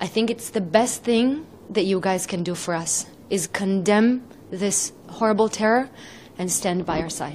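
Over light background noise, a woman talks at a fairly slow pace with ordinary pitch variation. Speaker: interviewee. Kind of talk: interview answer. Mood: earnest, grateful, emotional. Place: home room. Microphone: handheld.

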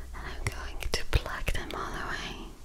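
A woman's whisper at a very slow pace. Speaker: ASMR creator. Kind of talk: soft ASMR personal attention talk. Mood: tender, soothing. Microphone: earbuds.

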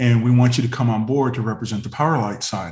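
The voice is somewhat breathy, with an American accent and ordinary pitch variation. Audible room echo is present. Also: man. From Northern California. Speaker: former BMX racer; podcast guest. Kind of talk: casual chat. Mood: relaxed, friendly. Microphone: video call.

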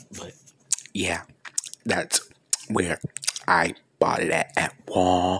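Very slowly, a man whispers. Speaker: asmr vlogger. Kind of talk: casual ASMR-style talk to camera showing a new headset. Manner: whispered, soft-spoken. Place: home room. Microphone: earbuds.

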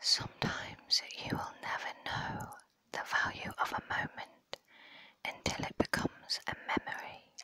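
Someone whispers at a fairly slow pace. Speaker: ASMR creator. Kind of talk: ASMR whispering. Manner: slow, repeated phrases.

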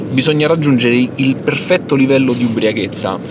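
A man talks fairly quickly in a dry sound with no echo, though noticeable background noise is present. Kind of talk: interview answer. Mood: wry, mock-scientific humor. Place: car.

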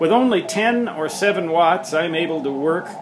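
Music plays in the background as a man speaks with lively intonation. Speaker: amateur radio operator. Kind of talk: casual home tour narration. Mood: wry, self-deprecating humor. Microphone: phone near.

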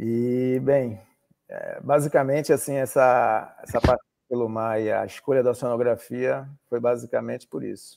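A man talks at a moderate pace, his dry sound carrying no echo despite noticeable background noise. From Salvador, Bahia, Brazil; Bahia, Brazil. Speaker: oceanographer and maritime pilot; interview guest. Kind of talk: interview. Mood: relaxed, reminiscing. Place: home room.

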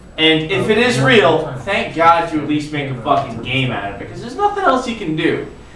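A man talks with hardly any pauses. Noticeable background noise and audible room echo surround him. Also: fairly quick pace. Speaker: video host. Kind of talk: casual chat commentary. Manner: tipsy, loose, slurring rant. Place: home room. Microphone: camera far.

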